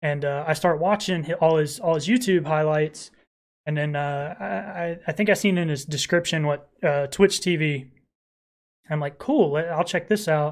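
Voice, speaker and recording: A man speaks at a moderate pace with fairly high pitch and ordinary pitch variation, in an unremarkable speaking voice. The recording is very clean, with a silent background. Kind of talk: casual solo podcast intro monologue. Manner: filler-heavy, casual, profane.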